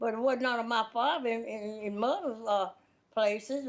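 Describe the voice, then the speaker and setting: With a Southern US accent, this woman talks at a moderate pace in a fairly high pitch with ordinary pitch variation. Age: 80s+. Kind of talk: interview answer.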